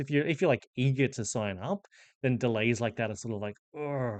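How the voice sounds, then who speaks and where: A man with an Australian accent talks at a fairly quick pace in a medium pitch. The background is quiet. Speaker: professional Dungeon Master. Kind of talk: casual explainer monologue. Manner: conversational with fillers.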